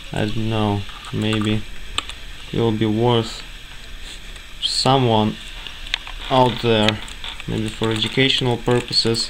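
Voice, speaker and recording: A man with a non-native accent speaks at a very slow pace in a monotone, flat intonation, leaving long, frequent pauses. Noticeable background noise runs behind him. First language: not English. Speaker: hobbyist tech presenter. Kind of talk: tutorial. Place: home room. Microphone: phone near.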